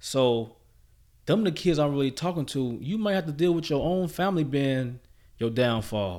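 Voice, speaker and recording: With an American accent and a plain, everyday voice, this man talks at a moderate pace in a fairly high pitch, his intonation lively, on a very clean recording with a silent background. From Chicago South Side. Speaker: guest sharing life story. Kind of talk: casual interview.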